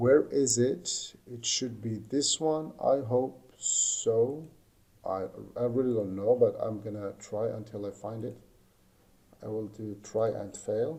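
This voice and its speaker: Somewhat breathy and at a very slow pace, a man speaks at medium pitch with ordinary pitch variation. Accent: non-native. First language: not English. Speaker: lighting design instructor. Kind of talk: tutorial. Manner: halting.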